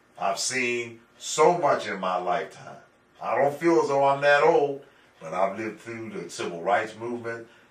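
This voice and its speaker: A man's plain, everyday voice, with lively intonation and big swings in loudness. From Pittsburgh, Pennsylvania. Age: 60s. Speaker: urban planner. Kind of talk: interview.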